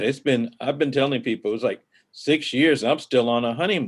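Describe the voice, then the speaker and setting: A man at a moderate pace. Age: 60s. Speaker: comic book publisher and pastor. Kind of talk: interview. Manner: halting.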